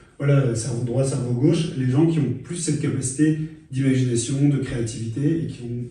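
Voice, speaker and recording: Room echo can be heard as a man talks. His voice sits at a medium pitch and moves at a moderate pace. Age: 30s. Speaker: author and journalist. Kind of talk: interview. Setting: studio. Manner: hesitant, many fillers and repetitions.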